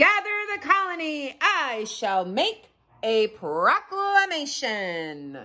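A high-pitched, put-on character voice. The delivery is very slow. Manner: heroic, regal.

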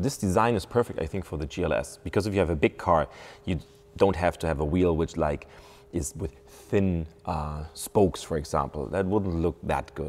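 The voice has vocal fry and ordinary pitch variation. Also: man. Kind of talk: walkaround commentary. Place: shop.

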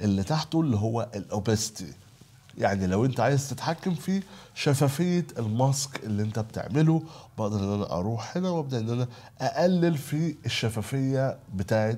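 A man speaks with an Egyptian accent and a dark, mellow tone. His intonation is lively. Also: moderate pace. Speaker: video editing tutor. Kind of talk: tutorial. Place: home room.

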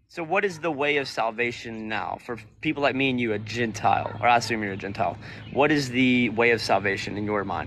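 A man at a fairly quick pace, ordinary pitch variation, light background noise. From US South. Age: 20s. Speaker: livestream participant. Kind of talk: religious debate. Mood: friendly, curious, questioning. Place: garden.

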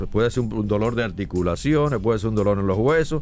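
A man at a fairly quick pace with ordinary pitch variation, music in the background. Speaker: radio host. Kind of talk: radio interview with call-ins.

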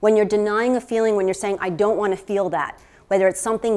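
A woman speaks at a very fast pace. Her intonation stays fairly even. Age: 50s. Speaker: healthcare practitioner and therapist; presenter. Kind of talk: workshop talk to a live audience. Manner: conversational, with fillers. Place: meeting room.

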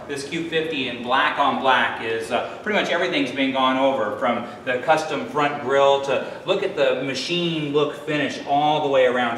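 At a moderate pace, a man speaks with audible room echo and light background noise. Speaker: car salesman. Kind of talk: product presentation. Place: shop. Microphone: camera far.

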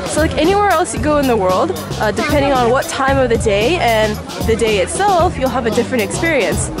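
A woman speaks at a moderate pace with clear music behind her. The sound is dry, with no echo. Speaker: travel vlogger. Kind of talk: casual vlog chat. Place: market. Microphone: phone near.

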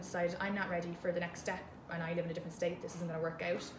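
Against noticeable background noise, a woman speaks at a very fast pace in an Irish accent. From Ireland, Kildare; Ireland. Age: 20s. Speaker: comedian; podcast co-host. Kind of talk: casual chat. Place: home room. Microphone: handheld.

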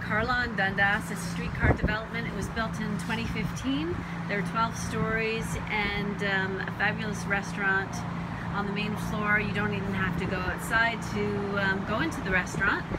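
Loud background noise sits behind the speaker. She is a woman talking at a moderate pace. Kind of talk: property tour commentary. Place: street. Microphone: phone near.

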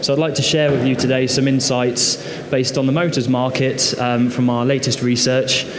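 A man talks at a moderate pace while noticeable background noise sits behind him. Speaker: presenter. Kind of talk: conference presentation. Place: stage.

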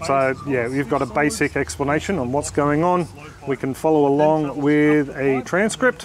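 A man with an Australian accent speaks at a moderate pace and a fairly high pitch. The sound is dry with no echo, and there is light background noise. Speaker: YouTube aquaponics educator. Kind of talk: product walkthrough tutorial. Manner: casual, friendly. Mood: friendly, thankful.

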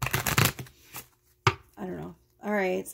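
A woman at a medium pitch, with loud background noise behind her. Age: 40s. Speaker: tarot reader. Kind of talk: tarot reading monologue to camera. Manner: casual, rambling and animated. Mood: loose, joking, frustrated. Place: home room. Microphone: phone near.

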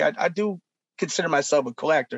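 Over a quiet background, a man talks at a fairly quick pace with ordinary pitch variation, the sound dry with no echo. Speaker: guest. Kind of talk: interview answer. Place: home room. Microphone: video call.

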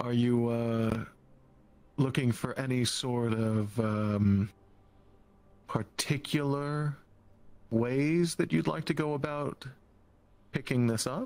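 At a very slow pace, a man with a medium pitch speaks with long, frequent pauses. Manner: cheery, coded customer service.

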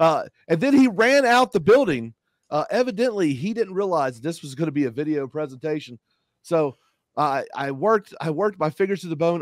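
Over a quiet background, a man talks at a moderate pace in a high pitch. His pitch swings very widely, and the sound is dry with no echo. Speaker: show host. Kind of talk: live comedy show host talk to audience. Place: studio.

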